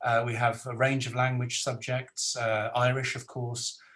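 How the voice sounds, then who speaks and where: Here a man talks with a Welsh accent at a medium pitch. His pace is fairly slow. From South Wales. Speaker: academic moderator. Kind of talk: webinar moderation. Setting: video call. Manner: hesitant.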